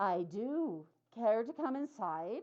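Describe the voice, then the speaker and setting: A woman uses a put-on character voice. Her pitch sits fairly high. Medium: read story. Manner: courteous, coaxing.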